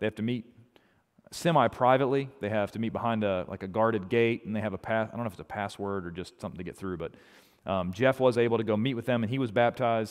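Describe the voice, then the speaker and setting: Very fast and at a medium pitch, a man speaks with ordinary pitch variation on a very clean recording with a silent background. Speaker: ministry outreach worker. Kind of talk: church presentation.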